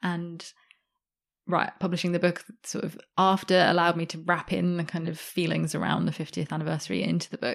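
Over a quiet background, a woman talks at a very fast pace with vocal fry and a fairly low pitch. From Australia, Sydney. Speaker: journalist and author. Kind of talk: interview.

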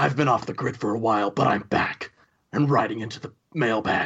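A put-on character voice speaks at a low pitch in a dramatic tone. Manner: brooding, dramatic.

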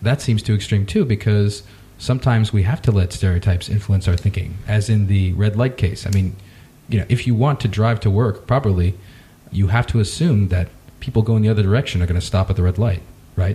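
A man with an ordinary speaking voice talks at a fairly quick pace. His loudness stays very even and his pitch varies in an ordinary way. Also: fairly low pitch for a man. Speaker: podcast host. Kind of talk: interview conversation.

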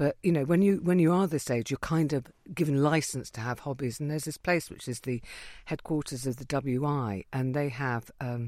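A woman with an English accent speaks at a moderate pace in a very deep, low voice with ordinary pitch variation. The recording is very clean, with a silent background. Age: 50s. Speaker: comedian. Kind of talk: casual chat. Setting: studio. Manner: animated.

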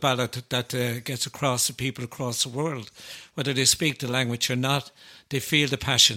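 A man with an Irish accent, a medium pitch and a bright, sharp tone. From Ireland. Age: 70s. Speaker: folk ballad singer. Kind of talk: casual chat.

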